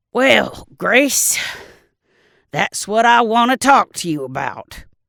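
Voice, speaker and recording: A put-on character voice comes through raspy and fairly high in pitch. It moves at a very slow pace. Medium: read story. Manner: folksy, teasing.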